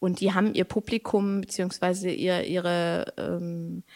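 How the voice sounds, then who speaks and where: A woman's unremarkable speaking voice at medium pitch with ordinary pitch variation, in a very clean recording with a silent background. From Germany, Lower Saxony (Braunschweig). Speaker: poet and creative artist. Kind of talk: casual interview. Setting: podcast recording. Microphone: good microphone, sounds great.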